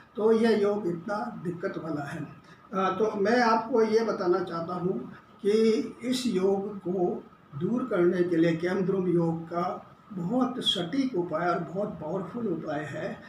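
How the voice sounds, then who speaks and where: A man with a high voice and ordinary pitch variation is heard with audible room echo and noticeable background noise. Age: 70s. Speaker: astrologer. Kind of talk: lecture. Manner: halting.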